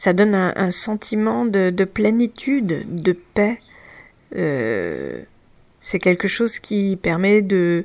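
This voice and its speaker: At a very slow pace, a woman with a medium-pitched voice speaks with lively intonation. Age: 40s. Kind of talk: personal reflection talk. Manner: hesitant, halting.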